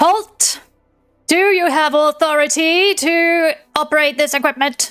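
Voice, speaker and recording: A woman puts on a character voice, high-pitched and fairly slow. Faint music plays in the background. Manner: commanding.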